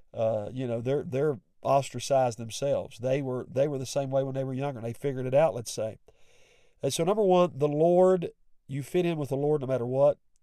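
A man's fairly high, dark and mellow voice with a West Virginia accent, fairly quick, with ordinary pitch variation. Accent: West Virginian Appalachian. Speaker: pastor and podcast host. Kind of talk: sermon-like devotional talk with prayer.

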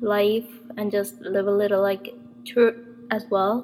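A woman speaks at a medium pitch with ordinary pitch variation. Noticeable background noise runs beneath her. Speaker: podcast host. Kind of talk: casual monologue. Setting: temporary place in another city.

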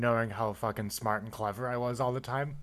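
Recorded very cleanly against a silent background, a man with an American accent speaks at a medium pitch with fairly even intonation. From Buffalo, New York. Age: 20s. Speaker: engineer. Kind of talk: casual chat.

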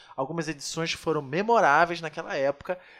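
A man with lively intonation. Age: 30s. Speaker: podcast host. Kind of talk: scripted show intro; casual chat.

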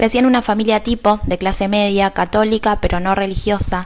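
An unremarkable speaking voice at a moderate pace. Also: woman. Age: 30s. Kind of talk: personal testimony.

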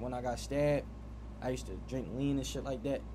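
Audible room echo on a man's fairly quick speech. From Philadelphia, US. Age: 20s. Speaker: barber. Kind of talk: casual interview.

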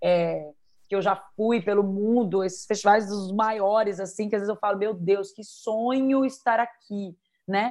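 The background is quiet. The speaker has a plain, everyday voice. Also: woman, medium pitch for a woman, fairly even intonation, fairly slow pace. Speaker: belly dance teacher and performer. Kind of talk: interview.

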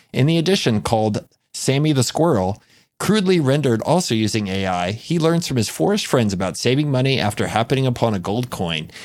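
With very wide pitch swings, a man speaks at medium pitch and a fairly quick pace in a very clean recording with a silent background. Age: 40s. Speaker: podcast co-host. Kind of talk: casual chat.

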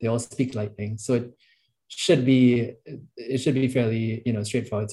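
Somewhat breathy and dark, mellow in tone, a man's medium-pitched voice moves at a fairly quick pace. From Trinidad. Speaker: software engineer. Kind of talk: casual interview.

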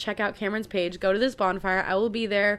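Talking very fast, a woman with a bright, sharp tone and a fairly high pitch comes through on a very clean recording against a silent background. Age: 20s. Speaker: podcast host. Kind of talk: casual chat.

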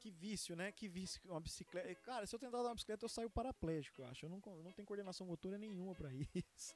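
A man talks at a very fast pace with hardly any pauses, using a high pitch with ordinary pitch variation, in a dry, close sound with no echo and music in the background. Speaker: podcast host. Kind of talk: casual interview.

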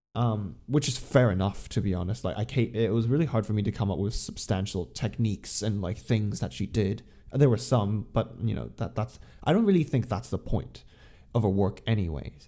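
With a dark, mellow tone and some vocal fry, a man speaks at a moderate pace in a fairly low voice with lively intonation. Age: young. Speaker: podcast co-host. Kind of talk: casual chat; talk about an artist. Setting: remote call.

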